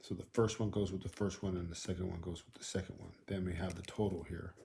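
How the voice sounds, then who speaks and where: A man's voice sits at a very deep, low pitch. It is somewhat breathy, with fairly even intonation. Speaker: school math teacher. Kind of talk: tutorial. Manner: casual.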